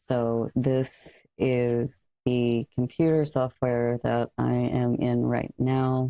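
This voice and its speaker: The voice is quiet and moves at a very slow pace. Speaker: content creator. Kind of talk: mic test tutorial.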